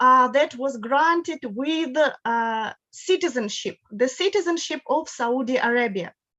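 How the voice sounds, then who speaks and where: Speaking slowly-ish with a Russian accent, a woman has a high pitch and a bright, sharp tone. Her intonation is lively, and the background is quiet. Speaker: guest lecturer on law. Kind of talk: lecture. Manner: halting, with repetitions.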